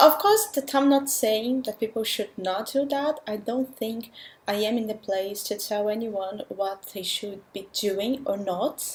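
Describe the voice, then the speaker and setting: With noticeable background noise, a woman with a non-native accent speaks at a fairly slow pace with hardly any pauses, in a fairly high pitch with ordinary pitch variation. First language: not English. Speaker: language learner vlogger. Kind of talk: vlog monologue.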